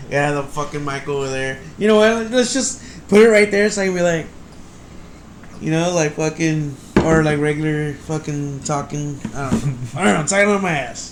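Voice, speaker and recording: A man with a fairly high pitch talks in a room with audible echo and noticeable background noise. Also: lively intonation, moderate pace. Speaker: podcast co-host. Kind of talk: casual chat. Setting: recording with mics. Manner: loud.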